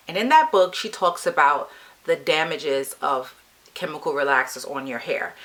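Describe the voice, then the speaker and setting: A woman at a moderate pace with big swings in loudness over noticeable background noise. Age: 50s. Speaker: beauty vlogger. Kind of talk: personal story vlog. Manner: casual conversational.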